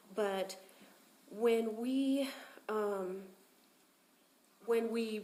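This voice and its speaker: Noticeable background noise sits behind a woman speaking at a fairly high pitch. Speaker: public commenter, property manager. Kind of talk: public comment at meeting. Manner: loud.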